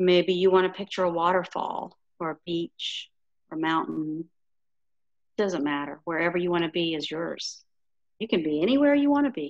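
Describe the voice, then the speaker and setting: A soft-spoken woman with a fairly low pitch uses lively intonation and leaves long, frequent pauses. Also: moderate pace. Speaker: yoga instructor. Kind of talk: yoga class instruction; guided relaxation.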